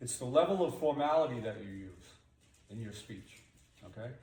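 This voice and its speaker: With an American accent, a man's voice makes very wide pitch swings against audible room echo. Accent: Boston accent, toned down at work. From Boston area, New England. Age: old. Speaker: high school carpentry teacher. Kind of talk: classroom lesson. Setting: classroom with students. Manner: conversational, checks understanding often.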